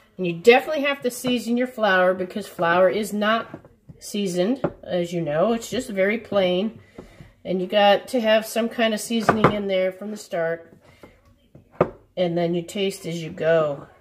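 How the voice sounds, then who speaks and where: Loud background noise behind a woman speaking at a moderate pace with ordinary pitch variation. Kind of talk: cooking tutorial. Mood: relaxed, instructive. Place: kitchen. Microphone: camera far.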